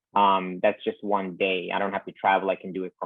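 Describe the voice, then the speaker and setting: A man with a fairly low pitch speaks in a Bosnian accent. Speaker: surgical resident. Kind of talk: interview.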